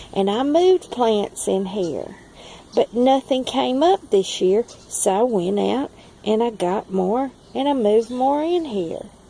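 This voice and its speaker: In a strong Southern US accent, a woman with a fairly high pitch talks at a fairly slow pace with very wide pitch swings. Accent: strong Southern drawl. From Southern United States. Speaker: forager and plant grower. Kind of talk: casual talk to camera. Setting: outdoors.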